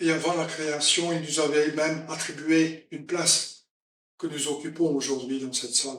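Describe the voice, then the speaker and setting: With a Flemish accent, the speaker talks at a moderate pace amid audible room echo. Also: man, fairly high pitch for a man, fairly even intonation. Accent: Flemish-accented French, front-rolled R. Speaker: preacher. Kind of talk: sermon. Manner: halting.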